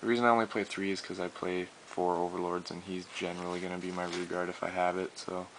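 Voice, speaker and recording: Racing at a very fast pace with hardly any pauses, a man speaks in a very deep, low voice with monotone, flat intonation. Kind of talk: card game deck profile, casual talk. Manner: hesitant, many fillers.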